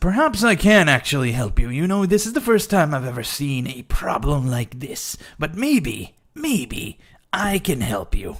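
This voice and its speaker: At a moderate pace and middle pitch, the speaker uses a put-on character voice. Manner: hesitant, wheedling.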